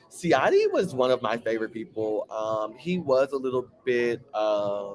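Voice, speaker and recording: Someone with an American accent talks in an animated tone against noticeable background noise. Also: man, medium pitch for a man, ordinary pitch variation. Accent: country accent with twang. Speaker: reality TV recap vlogger. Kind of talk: casual chat. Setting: bar.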